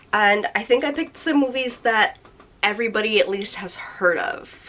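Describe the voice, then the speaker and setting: Over noticeable background noise, a woman talks at a fairly slow pace in a fairly high voice with very wide pitch swings. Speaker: booktuber. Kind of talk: casual vlog chat. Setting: seated at home filming spot.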